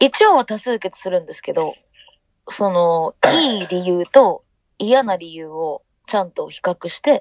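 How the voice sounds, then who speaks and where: A plain, everyday voice from a woman, medium in pitch and fairly slow, with a dry, close sound and no echo. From Hiroshima, Japan. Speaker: band vocalist. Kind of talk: interview.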